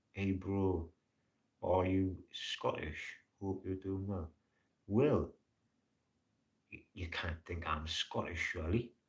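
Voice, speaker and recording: Speaking in a Geordie accent at a very slow pace, a man with a very deep low pitch and a somewhat breathy voice keeps his intonation fairly even, with long, frequent pauses and big swings in loudness. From northern England, Newcastle upon Tyne. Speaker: live streamer. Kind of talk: casual chat.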